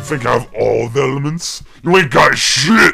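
A put-on character voice with vocal fry and a bright, sharp tone moves at a moderate pace while faint music plays in the background. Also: lively intonation.

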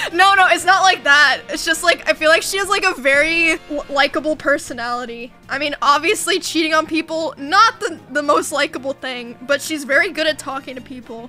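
With faint music in the background, a woman uses a raised, projected voice at a fairly quick pace, with hardly any pauses and ordinary pitch variation. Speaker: livestreamer. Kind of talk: casual stream chat, reading and answering chat. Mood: amused, laughing, a bit defensive. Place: home room.

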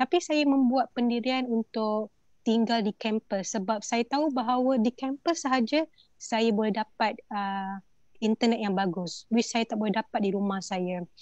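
A woman with a plain, everyday voice speaks at a fairly slow pace and fairly high pitch, with ordinary pitch variation, in a dry, close recording with no echo. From Malaysia, Selangor (Temuan Orang Asli village). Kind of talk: online panel discussion.

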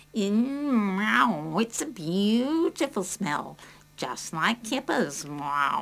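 A woman puts on a cartoonish character voice at medium pitch, with very wide pitch swings and a very slow pace. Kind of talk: children's puppet play. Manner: cheeky, punning, says meow.

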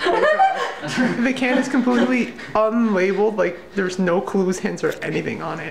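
A man talks at a moderate pace with noticeable background noise around him. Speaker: college student, vlogger. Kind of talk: casual vlog talk to camera. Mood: amused, grossed out. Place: kitchen.

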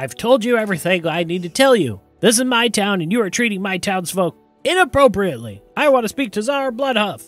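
A man's put-on character voice, high-pitched and fairly quick, with faint music in the background. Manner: indignant, assertive.

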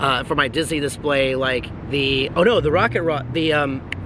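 Noticeable background noise accompanies a man speaking at a moderate pace with ordinary pitch variation. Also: dry sound with no echo. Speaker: vlogger. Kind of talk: casual vlog chat. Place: street. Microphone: phone near.

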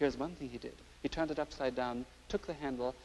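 A man with an Irish accent talks at a fairly quick pace. His pitch variation is ordinary. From Ireland. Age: young. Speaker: art critic. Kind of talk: educational TV presentation.

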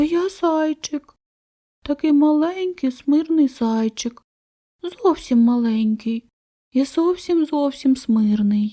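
A woman uses a put-on character voice, high-pitched, timid and shaky. She leaves long, frequent pauses. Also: fairly slow pace. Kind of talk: childlike, meek. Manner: trembling, timid, pleading.

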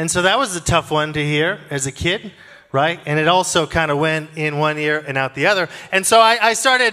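A man's bright, sharp voice at a fairly quick pace, with ordinary pitch variation over a quiet background. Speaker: preacher. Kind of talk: sermon. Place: stage. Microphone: handheld.

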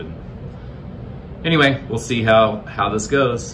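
Male voice over noticeable background noise. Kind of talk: casual vlog chat. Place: home room. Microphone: phone near.

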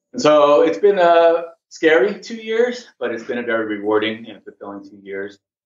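Here a man has a normal speaking voice. He talks at a moderate pace with lively intonation. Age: 40s. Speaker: kettlebell instructor and massage therapist. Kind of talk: interview.

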